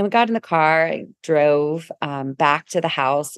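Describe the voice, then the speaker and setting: Recorded dry and close with no echo against a quiet background, a woman sounds animated at a very deep, low pitch. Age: 50s. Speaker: podcast host and wellness business founder. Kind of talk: solo storytelling podcast monologue. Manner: animated, laughing often.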